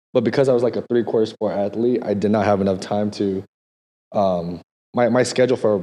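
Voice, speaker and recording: The voice has a dark, mellow tone and moves at a fairly quick pace. The sound is dry and close, with no echo. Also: man. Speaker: dancer and streamer. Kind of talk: casual chat. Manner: animated.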